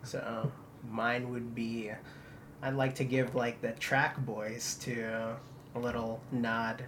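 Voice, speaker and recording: A man's medium-pitched voice, very slow and flat in a monotone, with audible room echo. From Philippines. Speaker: student multimedia reporter. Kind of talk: casual chat.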